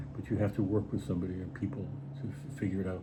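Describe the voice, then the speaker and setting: Amid audible room echo, a man with a fairly low pitch talks at a very fast pace. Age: 70s. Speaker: writer and artist. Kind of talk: casual chat. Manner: halting.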